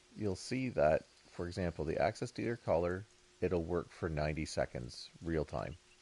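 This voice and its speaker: A man speaks at a moderate pace in a very deep, low pitch. His intonation is lively and his voice carries vocal fry. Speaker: video game streamer. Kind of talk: live gameplay commentary. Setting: live stream.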